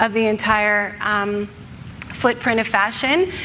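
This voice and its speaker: Fairly high pitch from a woman, set against noticeable background noise. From Canada. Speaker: author and ethical fashion advocate. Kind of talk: conference talk.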